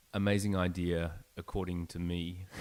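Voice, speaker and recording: A very clean recording with a silent background, spoken with an Australian accent. The intonation stays fairly even. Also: man. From Australia, Melbourne. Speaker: startup founder. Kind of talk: podcast interview.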